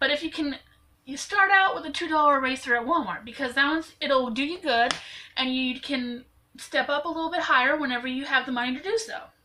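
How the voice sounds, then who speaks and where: Speaking at a very fast pace, a woman uses a raised, projected voice that is high-pitched, with ordinary pitch variation. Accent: American. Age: 20s. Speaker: YouTuber, amateur artist. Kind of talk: tutorial. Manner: casual, chatty with fillers.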